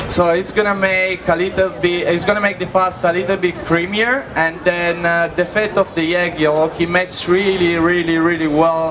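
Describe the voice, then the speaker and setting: A man speaks in an Italian accent at a moderate pace, high in pitch, with flat, monotone intonation. Room echo is audible, and there is noticeable background noise. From Italy. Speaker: chef. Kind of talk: live cooking demonstration. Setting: stage with audience at food festival. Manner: halting, searching for English words.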